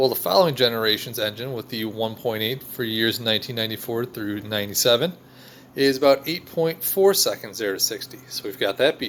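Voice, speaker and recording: A man with a plain, everyday voice, medium pitch, ordinary pitch variation and a fairly quick pace. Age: 30s. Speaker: car enthusiast youtuber. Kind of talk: casual video narration.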